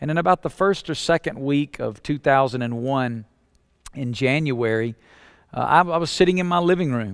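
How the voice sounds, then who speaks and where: Someone with a Southern US accent speaks at a moderate pace with ordinary pitch variation. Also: man. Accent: Southern US (Alabama), noticeable. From Alabama, US South. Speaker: pastor. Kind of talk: teaching talk for church planters. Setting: webinar recording.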